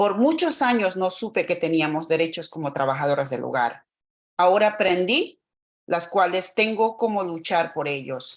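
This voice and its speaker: A woman speaks with lively intonation at a fairly low pitch. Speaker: domestic worker testifying at public hearing. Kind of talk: public testimony. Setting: video call. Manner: slow.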